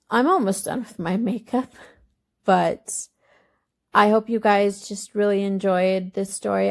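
Speaking at a fairly slow pace, this woman has a medium pitch and a monotone, flat intonation. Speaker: beauty vlogger. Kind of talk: casual chat. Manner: halting.

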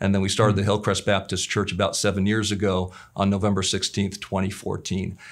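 The speech runs at a very fast pace in a monotone with flat intonation, its loudness very even over a quiet background. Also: man, fairly low pitch for a man. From California. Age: 30s. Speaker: pastor. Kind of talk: testimony. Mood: warm, reflective. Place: studio.

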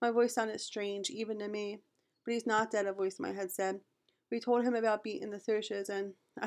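A natural reading voice with fairly even intonation comes through over a quiet background.

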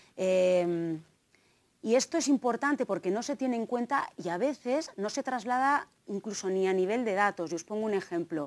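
With a slight Navarrese accent, a woman speaks at a moderate pace with lively intonation. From Navarre, Spain (Tafalla); Navarre, Spain. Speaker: gender studies lecturer and researcher; gender studies lecturer. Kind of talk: conference talk. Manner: hesitant, many fillers. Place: hall. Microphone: lapel.

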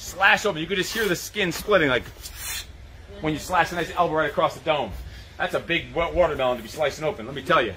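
A man speaks very fast while light background noise runs underneath. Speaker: fitness coach. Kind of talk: live workout instruction. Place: garden.

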